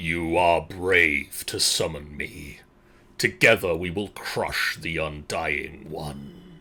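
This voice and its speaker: In a put-on character voice, a man talks very slowly with a very deep, low pitch that is raspy and rumbling, on a very clean recording with a silent background. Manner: ominous, commanding.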